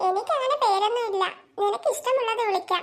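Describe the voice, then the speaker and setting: A cartoonish character voice, extremely high, at a fairly quick pace. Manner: servile, obliging.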